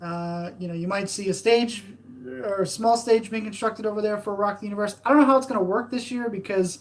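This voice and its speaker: Talking at a very fast pace, a woman keeps a medium pitch and fairly even intonation. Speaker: theme park fan channel host. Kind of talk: live stream chat. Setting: live stream. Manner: hesitant, many fillers.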